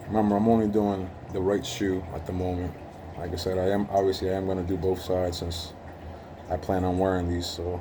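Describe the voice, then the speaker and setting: A man with a very deep, low pitch talks at a fairly quick pace in a monotone, flat intonation. His tone is dark, mellow and somewhat breathy, with audible room echo. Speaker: hobbyist sneaker restorer. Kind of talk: tutorial. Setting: working at home. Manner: casual with frequent fillers.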